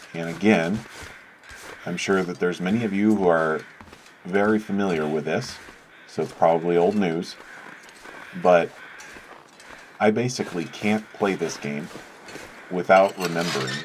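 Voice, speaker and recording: Very deep and low in pitch, a man speaks at a moderate pace with ordinary pitch variation. Long, frequent pauses break his speech, and background noise is noticeable. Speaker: gaming video creator. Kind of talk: let's play commentary. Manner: casual, hesitant with many fillers.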